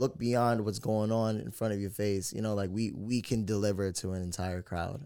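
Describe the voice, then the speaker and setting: A man's dark, mellow voice at a fairly low pitch, moderate pace and fairly even intonation, with hardly any pauses, in a very clean recording with a silent background. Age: 20s. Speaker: radio personality and DJ. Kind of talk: casual chat.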